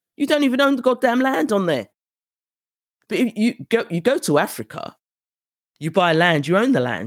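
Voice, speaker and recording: In a British accent, the speaker holds a moderate pace on a very clean recording with a silent background. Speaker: podcast host and tour organizer. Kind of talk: solo podcast monologue.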